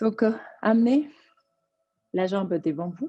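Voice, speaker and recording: This woman talks at a fairly slow pace with lively intonation. Her tone is dark and mellow and somewhat breathy. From Colombia. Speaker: yoga teacher. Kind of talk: yoga class instruction.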